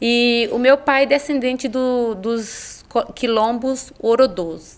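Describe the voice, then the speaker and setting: A woman speaks at a very slow pace. Her high voice has ordinary pitch variation. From Bahia, Brazil (Ilhéus). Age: 40s. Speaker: psychologist and women's mentor. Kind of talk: podcast interview.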